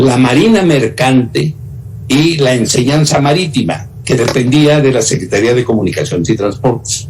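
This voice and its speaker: A man of medium pitch speaks with lively intonation at a moderate pace, with audible room echo and noticeable background noise. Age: 80s+. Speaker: former government minister. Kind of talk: interview. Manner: halting.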